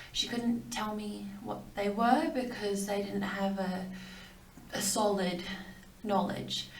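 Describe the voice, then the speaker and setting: There is audible echo in the room and noticeable background noise. The voice carries an Australian accent. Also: woman. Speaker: video blogger sharing cancer story. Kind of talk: personal testimony. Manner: hesitant, many fillers.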